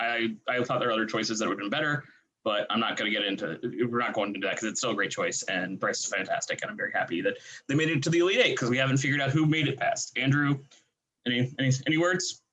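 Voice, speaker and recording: Very fast and with lively intonation, a man speaks at a medium pitch in a bright, sharp tone. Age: 30s. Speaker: podcast host. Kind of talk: casual chat. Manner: animated.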